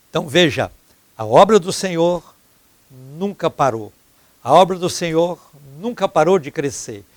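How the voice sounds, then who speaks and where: A man's high-pitched voice with lively intonation, a fairly slow pace and long, frequent pauses, in a dry, close sound with no echo. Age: 70s. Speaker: pastor and TV preacher. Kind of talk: televised sermon. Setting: TV studio.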